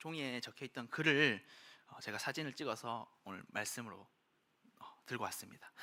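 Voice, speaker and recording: Moderate pace in a Gyeongsang accent. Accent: Gyeongsang dialect, noticeable. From Daegu, Gyeongsang region, South Korea. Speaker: preacher. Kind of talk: sermon.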